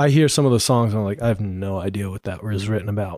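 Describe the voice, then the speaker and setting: A man with a dark, mellow tone is heard on a very clean recording with a silent background, the sound dry and close with no echo. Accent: American. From Colorado, Denver. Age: 20s. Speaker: musician and songwriter. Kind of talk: casual chat.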